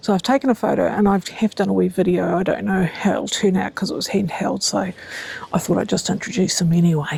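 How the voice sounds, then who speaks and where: A woman talking at a very fast pace in a New Zealand accent, over noticeable background noise. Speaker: gardening vlogger. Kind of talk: casual vlog tutorial. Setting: outdoors in garden. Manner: hesitant, many fillers; whispering.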